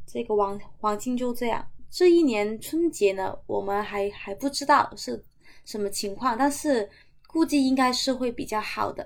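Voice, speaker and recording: With a silent background on a very clean recording, the delivery is fairly slow. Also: woman, high pitch for a woman, lively intonation. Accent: Cantonese. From Macau. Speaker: hyouth hostel owner. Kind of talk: casual interview chat. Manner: hesitant, many fillers.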